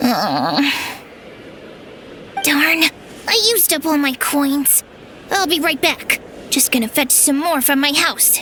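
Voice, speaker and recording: Over clear background noise, a high-pitched, put-on character voice speaks at a fairly slow pace with long, frequent pauses. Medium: short film. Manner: emphatic, indignant.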